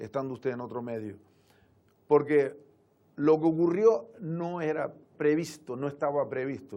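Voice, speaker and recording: A man speaks with a fairly high pitch and a dark, mellow tone. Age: 60s. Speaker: local politician, town councillor. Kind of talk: TV interview.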